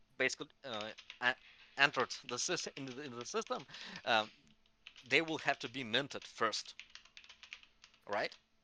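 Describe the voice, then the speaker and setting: A man's bright, sharp voice with a non-native accent, at a moderate pace with long, frequent pauses, big swings in loudness, ordinary pitch variation, and a dry, close sound with no echo. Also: medium pitch for a man. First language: not English. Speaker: crypto community call moderator. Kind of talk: community call discussion. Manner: halting, many false starts.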